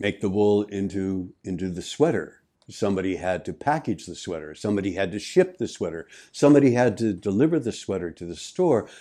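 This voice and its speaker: In a quiet background, a man with a dark, mellow tone and fairly low pitch talks at a fairly quick pace with lively intonation. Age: 70s. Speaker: life coach podcast host. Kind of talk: motivational talk. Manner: halting, with repetitions.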